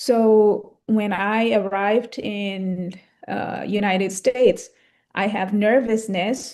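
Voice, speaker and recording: In an Indonesian accent, a woman speaks at a very slow pace. Her pitch is medium and her intonation fairly even. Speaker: English conversation club guest speaker. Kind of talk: casual chat. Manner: hesitant, many fillers.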